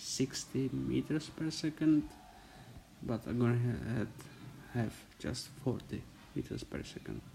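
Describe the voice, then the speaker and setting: Very slowly, a man talks with a non-native accent. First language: not English. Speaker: gaming youtuber. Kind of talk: game tutorial. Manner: halting.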